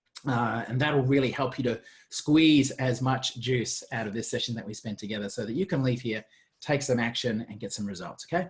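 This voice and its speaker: A man with an Australian accent speaks in a somewhat breathy voice. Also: medium pitch for a man, ordinary pitch variation, fairly quick pace. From Australia, Gold Coast. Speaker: marketing coach. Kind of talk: webinar presentation. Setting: video webinar. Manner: fast; animated.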